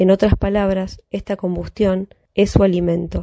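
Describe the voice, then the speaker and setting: A woman speaks at a fairly slow pace in a monotone, flat intonation. The sound is dry and close, with no echo. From Buenos Aires, Argentina. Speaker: listener contributor reading aloud. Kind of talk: reading aloud a novel excerpt.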